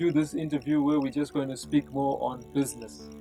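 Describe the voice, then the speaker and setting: A man talks at a moderate pace, with music playing behind him. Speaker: pastor and interviewer. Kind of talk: interview questions.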